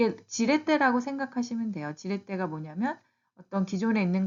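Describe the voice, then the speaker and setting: Very wide pitch swings mark a woman's speech at a fairly quick pace. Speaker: YouTuber giving job-search advice to immigrants. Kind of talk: tutorial. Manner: casual, with fillers and self-corrections.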